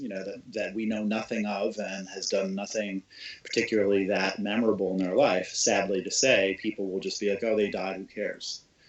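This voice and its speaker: A man's fairly low voice in an American accent, fairly quick and fairly even in intonation, over noticeable background noise. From Carolina, US South. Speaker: podcast co-host. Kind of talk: casual discussion. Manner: halting.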